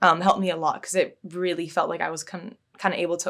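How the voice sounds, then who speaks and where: Fairly low in pitch, a woman talks with a West Coast accent. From Seattle area, Washington, US. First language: Bulgarian. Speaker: physics PhD student. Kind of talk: interview. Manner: hesitant, many fillers.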